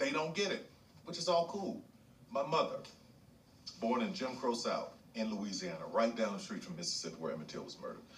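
Noticeable background noise runs through the clip. Over it, a man talks at a very fast pace. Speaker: podcast guest. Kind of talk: casual chat.

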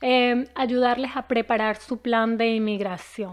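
The setting around her is quiet. This woman's voice is high-pitched. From Venezuela, Caracas. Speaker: immigration lawyer. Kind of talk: channel introduction.

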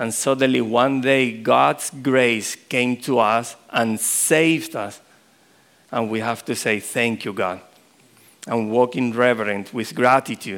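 Speaking very slowly with a Spanish accent, a man uses a medium pitch and ordinary pitch variation. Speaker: pastor. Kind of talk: sermon. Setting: church.

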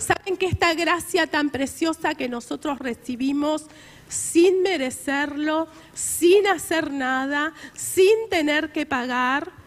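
With a Rioplatense accent, a woman speaks at a very slow pace with ordinary pitch variation. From Argentina. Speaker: preacher. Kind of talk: sermon. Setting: church. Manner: earnest, exhortative preaching.

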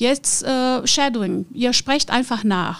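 A woman in a Portuguese accent at a fairly slow pace, with ordinary pitch variation. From Brazil, Rio de Janeiro. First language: Portuguese (speaking German). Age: 50s. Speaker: conference interpreter and business owner. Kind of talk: interview.

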